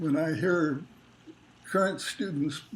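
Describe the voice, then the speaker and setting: A man with a Californian accent, fairly high-pitched, at a fairly slow pace. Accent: General American (Californian). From Los Angeles, California, US. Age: 90s. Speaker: retired academic being interviewed. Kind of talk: oral history interview. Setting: family home kitchen.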